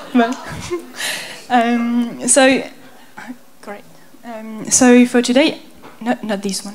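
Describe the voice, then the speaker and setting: In a French accent, the speaker talks at a very slow pace with fairly even intonation and long, frequent pauses, over noticeable background noise and audible room echo. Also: woman, big swings in loudness. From France. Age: 20s. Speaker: graphic designer and conceptual artist. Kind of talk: artist presentation. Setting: stage with audience. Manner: halting.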